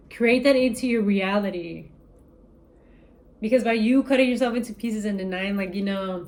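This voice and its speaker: At a fairly quick pace, a woman talks in a fairly high voice. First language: not English. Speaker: tarot reader. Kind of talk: spiritual reading to camera. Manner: casual, animated.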